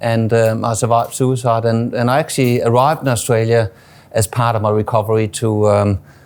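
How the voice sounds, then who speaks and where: At a fairly quick pace, a man speaks with a medium pitch and monotone, flat intonation. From Denmark. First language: Danish. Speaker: suicide prevention charity CEO, former plumber. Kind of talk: interview. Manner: halting, many fillers and repeats.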